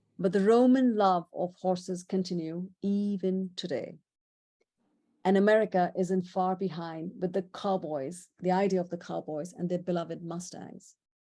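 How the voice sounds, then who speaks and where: In a very clean recording with a silent background, a woman speaks at medium pitch with a dark, mellow tone. Her intonation is fairly even and her pace moderate. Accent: Indian. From India. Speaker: presenter. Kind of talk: illustrated presentation. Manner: conversational.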